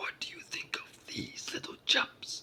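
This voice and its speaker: A put-on character voice whispers raspily at a fairly slow pace. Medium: read story. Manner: amused, condescending.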